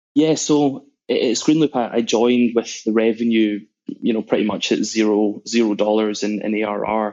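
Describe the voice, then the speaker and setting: A man with a Scottish accent talks at a moderate pace and medium pitch, his intonation fairly even. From Scotland, Glasgow. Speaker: sales executive. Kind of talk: podcast interview.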